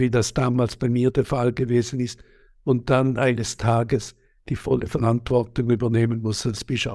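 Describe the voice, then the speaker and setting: A man's voice sits at a medium pitch. Behind it the background is silent, the recording very clean. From Switzerland. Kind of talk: interview. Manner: halting, many hesitations.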